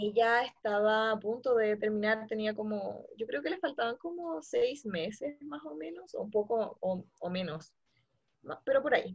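A woman speaks in a fairly high, somewhat breathy voice at a fairly slow pace. Her intonation is lively, with big swings in loudness. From Santiago, Chile. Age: 20s. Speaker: returned missionary. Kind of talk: testimony.

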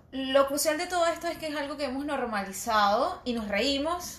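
Over noticeable background noise and audible room echo, a woman with a high pitch speaks at a moderate pace, her voice making very wide pitch swings. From Venezuelan Andes, Mérida state. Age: 30s. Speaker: podcast co-host. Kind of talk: casual chat.

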